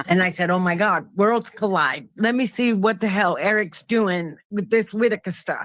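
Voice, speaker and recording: A speaker with a New York accent talks at a moderate pace, with hardly any pauses. The recording is very clean, with a silent background. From Brooklyn, New York. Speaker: panel guest. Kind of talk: casual chat.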